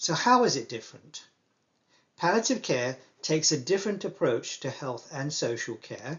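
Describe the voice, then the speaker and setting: Speaking in an English accent, a man keeps a moderate pace. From England. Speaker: palliative care doctor. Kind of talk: lecture.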